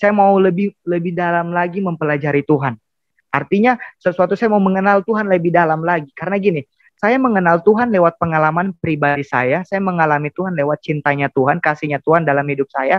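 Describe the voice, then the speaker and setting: A man's high voice at a very fast pace with ordinary pitch variation, in a dry sound with no echo and a quiet background. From Indonesia, Central Sulawesi (Palu), Bugis family; Central Sulawesi, Indonesia. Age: 20s. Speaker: seminary student, convert; guest. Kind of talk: testimony. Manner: halting. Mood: earnest, emotional testimony. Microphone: earbuds.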